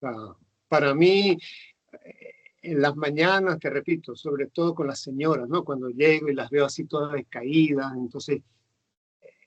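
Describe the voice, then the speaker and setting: At a fairly slow pace with long, frequent pauses, a man speaks in a fairly high pitch with fairly even intonation and big swings in loudness. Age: 60s. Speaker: nurse. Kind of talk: casual interview. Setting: video call. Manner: halting, many fillers.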